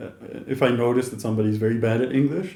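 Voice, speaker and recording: This man speaks very fast with a Dutch accent and ordinary pitch variation. Room echo is audible. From Netherlands. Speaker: YouTuber, interviewer. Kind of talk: casual chat. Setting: in person, in the Netherlands.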